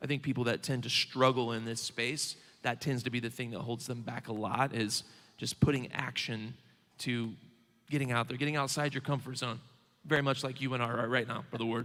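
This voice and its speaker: Using fairly even intonation, a man with a Southern Indiana accent talks at a fairly quick pace in a medium pitch with a bright, sharp tone. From Southern Indiana, rural. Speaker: bank regional manager. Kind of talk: onstage interview.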